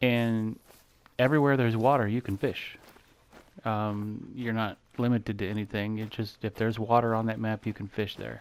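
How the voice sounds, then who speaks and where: Monotone, flat intonation marks this man's speech. He has a medium pitch and talks at a moderate pace. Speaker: gaming YouTuber. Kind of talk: gameplay commentary. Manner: mellow. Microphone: mic too far, a little quiet.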